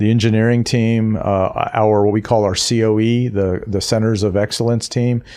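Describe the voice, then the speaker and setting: Against a quiet background, a man speaks at a medium pitch and moderate pace in a dark, mellow tone. His intonation is monotone and flat. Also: very even loudness. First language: not English. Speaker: technology executive and author. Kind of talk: podcast interview. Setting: studio. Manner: hesitant, many fillers.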